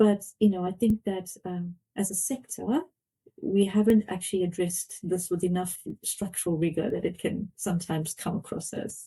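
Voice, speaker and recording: Somewhat breathy and dark, mellow in tone, a woman speaks at a medium pitch and moderate pace with fairly even intonation. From South Africa. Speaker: fintech board member. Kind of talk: podcast interview.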